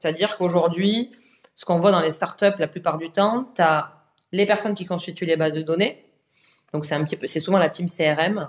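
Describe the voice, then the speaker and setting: With fairly even intonation, an ordinary speaking voice proceeds at a moderate pace. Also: woman, fairly low pitch for a woman. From southern France. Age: 30s. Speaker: entrepreneur, agency founder. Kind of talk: podcast interview. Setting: at the guest's office.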